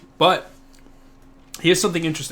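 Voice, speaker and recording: This man has a bright, sharp tone. He talks with an American accent. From US Midwest, Ohio. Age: young. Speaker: podcast host, surplus store owner. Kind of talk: casual chat. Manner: halting, many fillers.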